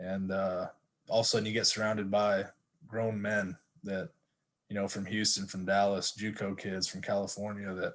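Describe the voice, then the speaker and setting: In a Texan accent, a man talks at a fairly low pitch. His intonation is monotone and flat. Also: moderate pace. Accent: Texas country. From Texas, Stephenville. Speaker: football coach, former college athlete. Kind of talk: casual interview chat.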